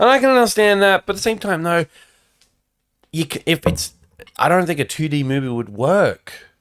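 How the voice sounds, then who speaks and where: With an Australian accent, a man talks fairly quickly in a high, animated voice with very wide pitch swings and long, frequent pauses, the sound dry and close with no echo. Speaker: podcast co-host. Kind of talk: casual chat.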